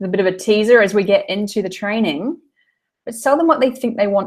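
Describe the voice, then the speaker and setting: A somewhat breathy woman with a fairly high pitch, lively intonation, a fairly quick pace and an American accent. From New Zealand. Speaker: business mentor for health coaches. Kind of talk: online training webinar. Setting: online group call.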